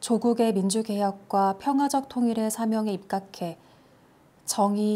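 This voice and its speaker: Soft-spoken and fairly slow, a woman talks in a fairly high voice with a dark, mellow, gentle, calm tone. Her intonation stays fairly even. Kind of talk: ASMR sleep-aid reading of a national constitution. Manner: soft, gentle, calm.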